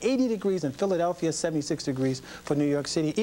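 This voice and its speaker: Talking at a very fast pace, a man with a high pitch shows ordinary pitch variation. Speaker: broadcast meteorologist. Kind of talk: TV weather forecast broadcast. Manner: upbeat, friendly, conversational.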